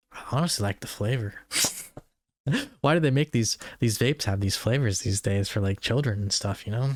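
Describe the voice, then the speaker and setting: A man's mumbling at a fairly quick pace and medium pitch, with long, frequent pauses, ordinary pitch variation and a dry, close sound with no echo. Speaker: YouTuber. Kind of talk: casual monologue. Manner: mumbling, words run together.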